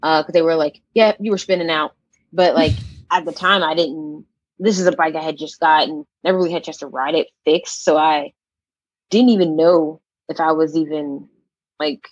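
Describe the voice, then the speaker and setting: With an American accent, a woman speaks at a moderate pace in a very deep, low pitch with ordinary pitch variation and long, frequent pauses, the sound dry and close with no echo. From Pittsburgh, Pennsylvania. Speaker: cycling club member. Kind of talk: casual interview chat.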